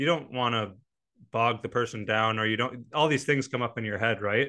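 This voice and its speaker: Against a quiet background, a man with a medium pitch and a bright, sharp tone speaks at a moderate pace with ordinary pitch variation. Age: 30s. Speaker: pro hockey player and podcast host. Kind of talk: casual chat.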